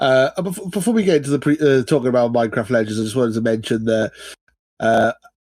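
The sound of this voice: A man speaks at a medium pitch with a slightly mellow tone. His pace is fast, and his pitch varies in an ordinary way.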